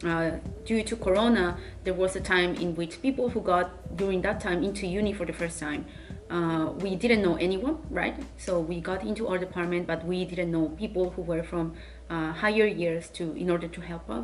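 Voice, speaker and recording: Speaking at a moderate pace, a woman talks with a Spanish accent. Noticeable background noise and audible room echo fill the recording. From Spain. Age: 20s. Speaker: university student vlogger. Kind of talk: casual Q&A vlog.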